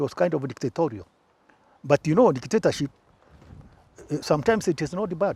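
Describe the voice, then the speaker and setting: A dark, mellow voice with vocal fry and lively intonation moves at a fairly quick pace with long, frequent pauses, in a dry, close sound with no echo. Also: man. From Kenya, Embu. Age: 70s. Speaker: former presidential press secretary. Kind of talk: interview. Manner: halting.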